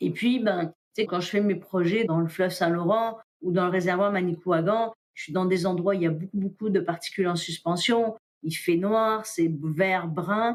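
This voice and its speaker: With an ordinary speaking voice, a woman talks at a fairly slow pace in a medium pitch with fairly even intonation. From France. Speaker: diver, explorer and underwater filmmaker. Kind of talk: podcast interview answer.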